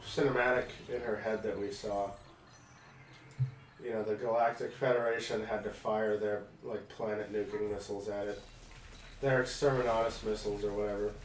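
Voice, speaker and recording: Against noticeable background noise and audible room echo, a man speaks at a fairly quick pace in a fairly low, monotone, flat voice, with long, frequent pauses. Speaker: let's play gamer. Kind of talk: casual chat.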